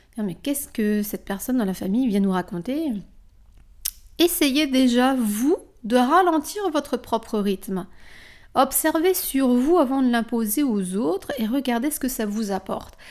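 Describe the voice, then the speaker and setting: On a very clean recording with a silent background, a high-pitched woman speaks fairly slowly with lively intonation. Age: 40s. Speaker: wellness coach and yoga teacher. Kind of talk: solo podcast monologue.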